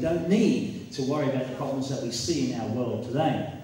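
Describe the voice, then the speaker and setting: Strong room echo and light background noise surround a man who speaks at a fairly quick pace with ordinary pitch variation. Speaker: preacher. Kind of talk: sermon. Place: hall.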